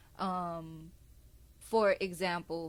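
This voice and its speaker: In a Houston accent, the speaker keeps a fairly even intonation on a very clean recording with a silent background. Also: woman. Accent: country Houston way of talking. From Texas, Houston. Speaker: podcast host. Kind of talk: casual chat.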